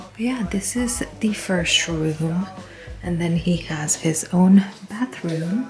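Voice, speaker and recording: Speaking very slowly over background music, a woman uses a fairly low pitch with ordinary pitch variation. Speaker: vlogger. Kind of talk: home tour vlog. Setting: walking through an apartment. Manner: soft-spoken.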